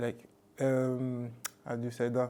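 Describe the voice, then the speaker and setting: A man speaks at a medium pitch. He has a French accent. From France, Toulouse (born in Mali). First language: Bambara. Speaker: rugby league player. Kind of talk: casual interview. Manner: halting, many fillers.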